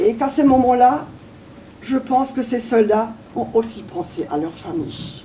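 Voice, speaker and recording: Lively intonation from a woman at a fairly slow pace, with long, frequent pauses and noticeable background noise. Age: 80s+. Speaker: war witness. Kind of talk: testimony.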